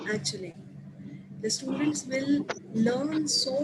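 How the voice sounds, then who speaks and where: Noticeable background noise sits under a woman speaking at a very slow pace in a fairly high voice. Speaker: teacher presenting to colleagues. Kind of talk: online staff training presentation. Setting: video call.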